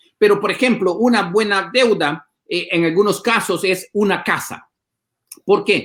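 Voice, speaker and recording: At a fairly slow pace, a man speaks at a high pitch with fairly even intonation. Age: 50s. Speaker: pastor. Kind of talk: casual chat. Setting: livestream.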